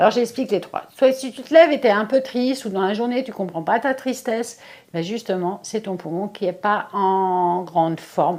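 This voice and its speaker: Lively intonation from a woman at a moderate pace, her voice fairly high. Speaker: face yoga and Chinese energetics practitioner. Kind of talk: tutorial. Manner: casual, hesitant.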